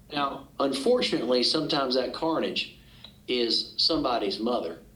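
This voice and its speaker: Over noticeable background noise, a man with a Southern US accent speaks at a moderate pace and medium pitch with ordinary pitch variation. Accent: Southern American. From Arkansas, USA. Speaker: trial attorney, auctioneer. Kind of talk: podcast interview answer.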